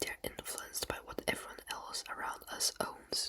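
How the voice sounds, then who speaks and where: The voice is a whisper. It goes at a fairly slow pace over noticeable background noise. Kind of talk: educational ASMR explainer. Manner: whispered; soft, slow, relaxing.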